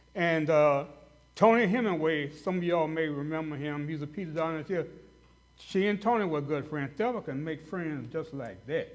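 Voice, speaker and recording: A man with an American accent, fairly high-pitched, at a moderate pace, with ordinary pitch variation and audible room echo. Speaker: dentist speaking at a hall of fame banquet. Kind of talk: tribute speech. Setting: banquet hall with audience. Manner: loud; halting, many fillers.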